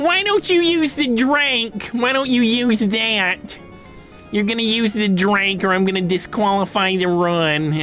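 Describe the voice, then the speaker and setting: Over clear background music, a man does a put-on character voice, high-pitched for a man, with lively intonation, very even loudness and a fairly slow pace. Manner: demanding, bossy.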